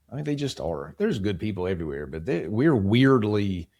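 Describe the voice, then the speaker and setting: A man with an American accent, fairly low in pitch, with lively intonation and a fairly quick pace, on a very clean recording with a silent background. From West Virginia, Appalachia. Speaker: home care company leader. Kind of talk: podcast interview.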